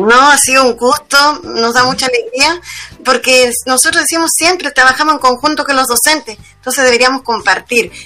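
A woman with a Chilean accent uses a raised, projected voice at a high pitch, keeping her loudness very even. She talks at a moderate pace with ordinary pitch variation over noticeable background noise. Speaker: union leader. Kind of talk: interview.

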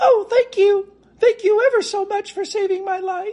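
Squeaky and pitched extremely high, this put-on character voice moves at a moderate pace. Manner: grateful.

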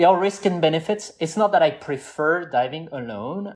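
A man talks with a French accent. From southwest France (Toulouse area). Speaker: scuba diver and AI engineer. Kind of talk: casual interview chat.

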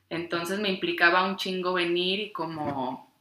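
A woman talks at a fairly slow pace in a normal speaking voice. Her pitch sits fairly low, with ordinary variation. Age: 20s. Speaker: podcast co-host, ceramic artisan. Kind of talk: casual chat.

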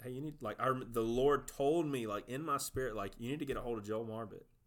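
A man speaks with a Southern US accent. His pace is fairly quick, with ordinary pitch variation. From South Georgia. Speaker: youth pastor. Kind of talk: casual conversation, faith testimony.

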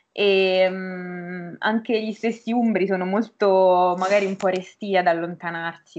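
A woman's unremarkable speaking voice, medium in pitch and fairly slow, against a quiet background. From Umbria, Norcia (province of Perugia). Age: 20s. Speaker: language teacher and university student. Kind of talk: casual interview chat.

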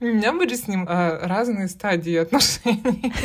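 Speaking at a moderate pace, a woman has a somewhat breathy, fairly high-pitched voice with lively intonation. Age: 30s. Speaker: podcast co-host. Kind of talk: casual chat.

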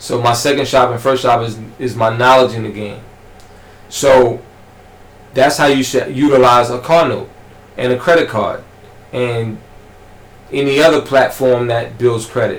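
This man has a New York accent and leaves long, frequent pauses. The room echo is audible, and there is noticeable background noise. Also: medium pitch for a man, fairly even intonation, moderate pace. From Southeast Queens, New York. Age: 30s. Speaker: barber and entrepreneur. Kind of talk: casual interview.

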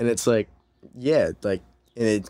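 Fairly low male tones, very clean recording, silent background. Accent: Californian. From Southern California, Orange County. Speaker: musician. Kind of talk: casual chat.

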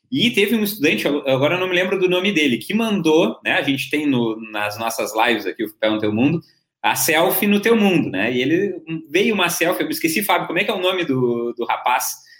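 Speaking fairly quickly with hardly any pauses, a man with a high pitch makes very wide pitch swings. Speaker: journalist and live-stream host. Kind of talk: live-stream panel discussion. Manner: animated.

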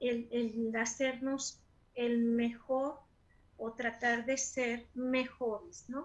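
A woman's high-pitched voice, monotone and flat, at a very slow pace. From Mexico. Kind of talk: casual interview.

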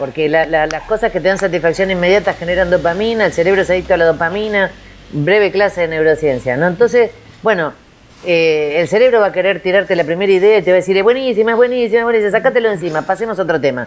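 Pitch shows ordinary variation. The delivery runs at a very fast pace. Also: woman, medium pitch for a woman. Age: 50s. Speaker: creativity and innovation consultant. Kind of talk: interview. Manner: animated.

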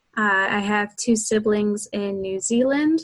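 With an American accent, a woman talks in an ordinary speaking voice at a fairly high pitch. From Florida, US. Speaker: donor-conceived person. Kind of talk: interview.

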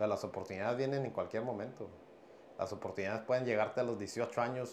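Talking at a fairly quick pace, a man has an ordinary speaking voice at medium pitch with fairly even intonation. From Piedras Negras, Coahuila, northern Mexico. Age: 30s. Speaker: professional MMA fighter and boxer. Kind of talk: casual interview.

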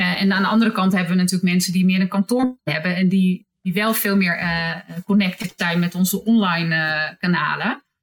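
A woman speaks at a medium pitch and a moderate pace. Her loudness stays very even, and her intonation is fairly even. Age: 50s. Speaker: hospital HR manager. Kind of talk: interview. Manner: halting.

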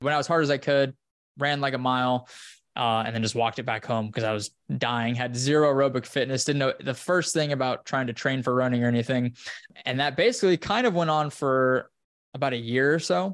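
A man with an American accent speaks at a fairly quick pace, his pitch medium. It is an ordinary speaking voice over a quiet background. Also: ordinary pitch variation. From Wyoming, US. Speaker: running coach and content creator. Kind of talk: casual interview.

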